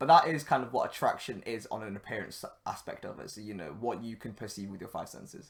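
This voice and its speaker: On a very clean recording with a silent background, a man with a northern English accent speaks at a fairly quick pace with lively intonation. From northern England. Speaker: podcast host. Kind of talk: solo podcast monologue. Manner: casual, filler-heavy.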